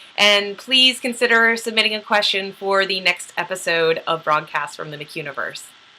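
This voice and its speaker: A woman talks at a moderate pace in a fairly high pitch with lively intonation. Noticeable background noise runs underneath. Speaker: novelist and video host. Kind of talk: casual vlog monologue. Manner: loud; animated.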